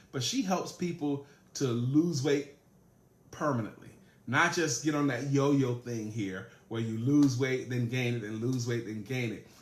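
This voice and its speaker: Speaking at a fairly slow pace, a man with a medium pitch sounds animated and somewhat breathy, with ordinary pitch variation. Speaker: sales trainer. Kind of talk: live-streamed training talk.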